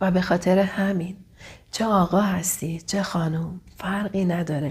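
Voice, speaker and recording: In a warm tone and medium pitch, a woman speaks with monotone, flat intonation. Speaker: relationship coach. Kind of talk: vlog advice monologue. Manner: occasionally stumbling; warm, affectionate.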